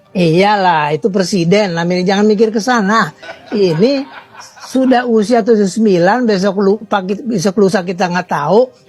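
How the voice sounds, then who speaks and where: Against noticeable background noise, a man talks fairly quickly at a high pitch with ordinary pitch variation. He sounds animated. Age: 70s. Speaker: political commentator. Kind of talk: talk show interview.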